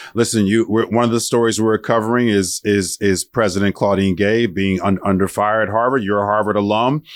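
Dry and close with no echo, a man speaks with very even loudness, fairly even intonation and hardly any pauses. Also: fairly quick pace. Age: 50s. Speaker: radio talk show host. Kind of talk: radio interview. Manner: halting, repeats words.

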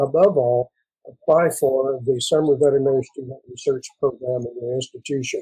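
A man with an American accent, fairly high in pitch, with a dark, mellow tone, somewhat breathy, with big swings in loudness, in a dry, close recording with no echo. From West Texas, Mexican border. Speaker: veterinary professor. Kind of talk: panel discussion.

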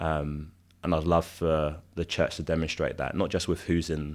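In a London accent, a man speaks with a very deep, low pitch and flat, monotone intonation. The recording is very clean, with a silent background. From South London. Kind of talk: interview conversation. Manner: hesitant, many filler ums.

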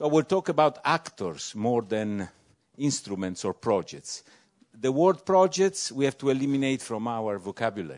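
At a moderate pace, a man with a medium pitch swings his pitch very widely, in a dry, close sound with no echo. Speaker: European Commission official. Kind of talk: panel discussion.

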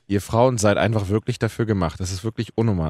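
The speech comes at a very fast pace. The sound is dry and close with no echo, on a very clean recording with a silent background. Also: man. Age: 20s. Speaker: radio podcast host. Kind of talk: casual chat.

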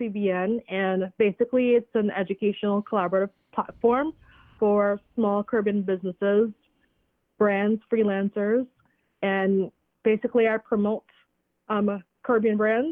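Long, frequent pauses break up a woman's speech at a moderate pace. Her voice sits at a medium pitch, with very even loudness and fairly even intonation. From Trinidad, moved to US at 14-15. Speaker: educator and entrepreneur. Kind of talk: casual interview.

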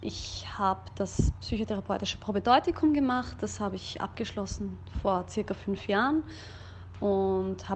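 This is a woman speaking. Her pace is fairly slow. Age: 30s. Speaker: singer and vocal teacher. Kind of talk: casual chat.

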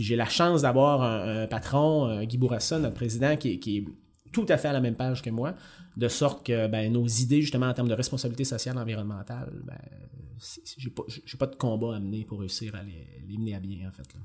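A man speaks in a Quebec accent with ordinary pitch variation. His loudness swings widely. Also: medium pitch for a man, fairly quick pace. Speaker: mining company environmental manager. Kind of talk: interview. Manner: halting.

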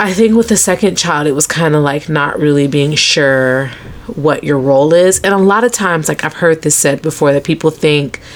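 Over noticeable background noise, a woman talks in a very deep, low pitch. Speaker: doula and podcast co-host. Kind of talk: casual chat.

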